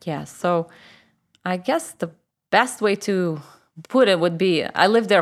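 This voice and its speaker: A woman with a Russian accent, fairly low in pitch, at a fairly slow pace with ordinary pitch variation, in a very clean recording with a silent background. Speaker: church member. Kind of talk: personal testimony interview.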